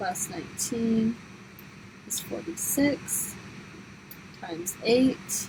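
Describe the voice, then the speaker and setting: A woman's fairly high voice shows ordinary pitch variation while noticeable background noise runs underneath. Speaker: high school math teacher. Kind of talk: tutorial.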